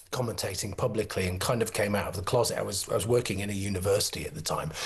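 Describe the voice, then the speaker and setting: A man speaks in a somewhat breathy voice. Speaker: former university drama lecturer, commentator. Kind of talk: studio discussion guest.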